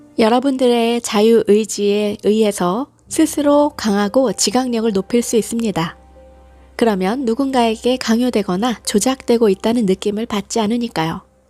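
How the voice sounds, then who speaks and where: A woman with a fairly high voice and ordinary pitch variation talks at a moderate speed while music plays behind her. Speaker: hypnosis and guided meditation channel host reading affirmations. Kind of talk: guided hypnosis / affirmation reading.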